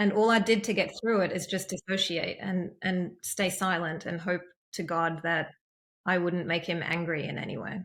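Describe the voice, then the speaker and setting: A woman speaks with a strong Australian accent at a fairly slow pace and with fairly even intonation. The recording is very clean, with a silent background. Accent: heavy Australian. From East Germany, then Australia from age nine. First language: German. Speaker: empowerment coach. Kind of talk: interview testimony. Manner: hesitant, many fillers.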